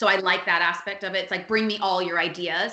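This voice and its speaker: Noticeable background noise and audible room echo surround a woman speaking at a medium pitch with an American accent. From Miami, Florida. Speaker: PR agency founder. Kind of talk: podcast interview. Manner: fast.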